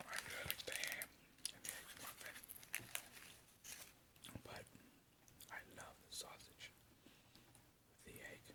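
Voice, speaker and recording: A whispered voice moves at a fairly slow pace with long, frequent pauses over noticeable background noise. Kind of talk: ASMR eating video talk to camera.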